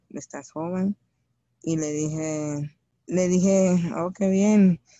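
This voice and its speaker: The woman's voice sits at a fairly low pitch. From Dominican Republic. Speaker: podcast co-host. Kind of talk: casual chat.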